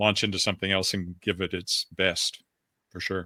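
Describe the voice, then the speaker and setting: A man's bright, sharp voice with an American accent, fairly low in pitch and fairly quick in pace, captured in a dry, close sound with no echo on a very clean recording with a silent background. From US Southwest (New Mexico, Texas). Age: 60s. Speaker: author. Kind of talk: interview.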